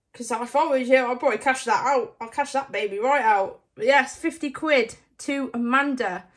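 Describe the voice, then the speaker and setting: Against a quiet background, a woman with a British accent talks in a high voice with ordinary pitch variation and hardly any pauses. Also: moderate pace. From UK. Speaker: scratchcard video creator; scratchcard vlogger. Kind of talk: casual scratchcard commentary; casual commentary. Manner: animated. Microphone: phone near.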